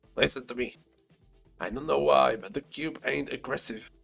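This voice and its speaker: A man uses a put-on character voice, raised and projected at a medium pitch. He keeps a moderate pace over faint music in the background. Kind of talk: casual, rough. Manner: urgent, warning.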